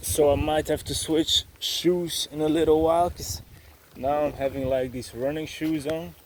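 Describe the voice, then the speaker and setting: Speaking at a fairly slow pace with a Dutch accent, a man uses a fairly high pitch and ordinary pitch variation. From Belgium, Dutch-speaking (Flanders). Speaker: travel vlogger. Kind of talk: vlog narration while hiking. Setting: outdoors on a hiking trail. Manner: hesitant, many fillers.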